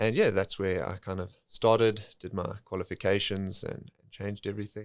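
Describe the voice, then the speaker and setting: Captured in a very clean recording with a silent background, a man with a South African accent speaks at a moderate pace and a fairly low pitch. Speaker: financial planner. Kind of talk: podcast interview.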